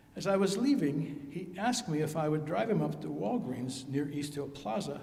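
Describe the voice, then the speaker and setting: Audible room echo surrounds a voice that moves at a moderate pace with lively intonation. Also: man, hardly any pauses. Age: 80s+. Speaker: eulogy speaker, friend of the deceased. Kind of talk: eulogy.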